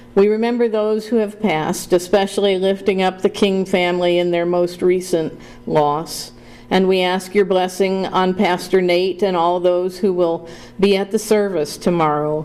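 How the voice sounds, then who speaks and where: Her loudness very even and her intonation monotone and flat, a woman speaks at a moderate pace and a medium pitch. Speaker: pastor. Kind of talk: prayer invocation. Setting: board room meeting.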